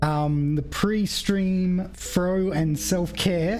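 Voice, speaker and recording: A woman speaks in an Australian accent. Music plays in the background, and the room echo is audible. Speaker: vtuber streamer. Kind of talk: casual game stream chat.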